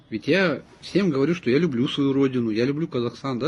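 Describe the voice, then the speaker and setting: At a fairly quick pace, the speaker sounds somewhat breathy. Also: man. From Kazakhstan, Semey. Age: 40s. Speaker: ethnic Russian resident speaking about language. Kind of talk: personal statement to camera. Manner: earnest, emphatic.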